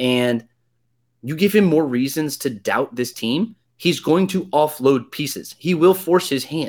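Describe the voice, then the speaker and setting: Heard on a very clean recording with a silent background, a man with a normal speaking voice speaks at a fairly high pitch with ordinary pitch variation. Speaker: sports radio host. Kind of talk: casual sports talk.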